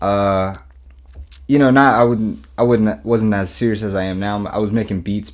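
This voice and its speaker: In a Mid-Atlantic US accent, a man talks at a fairly low pitch with ordinary pitch variation. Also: moderate pace. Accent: American Mid-Atlantic. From US Mid-Atlantic, Maryland. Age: 30s. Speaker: rapper and music producer. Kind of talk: casual interview chat. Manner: relaxed, casual.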